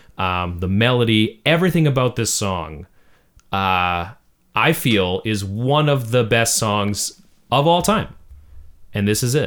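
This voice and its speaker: On a very clean recording with a silent background, a man with an ordinary speaking voice talks at a moderate pace with lively intonation. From Canadian Prairies. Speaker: podcast co-host and songwriter. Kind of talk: casual chat. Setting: studio.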